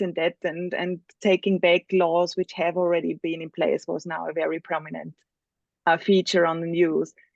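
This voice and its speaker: In a dry, close sound with no echo and a quiet background, a woman speaks with a non-native accent. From Spain. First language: not English. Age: 40s. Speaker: workshop facilitator. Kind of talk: online workshop presentation.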